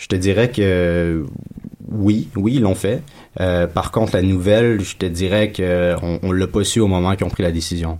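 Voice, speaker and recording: Speaking at a fairly slow pace, a man has a very deep, low pitch and fairly even intonation. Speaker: professional footballer. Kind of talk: casual chat.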